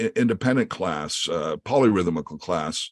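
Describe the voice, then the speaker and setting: A man with an American accent speaks at a moderate pace and a medium pitch. His intonation is lively, with vocal fry. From US Midwest, Creston, Iowa. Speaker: session drummer. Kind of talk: interview.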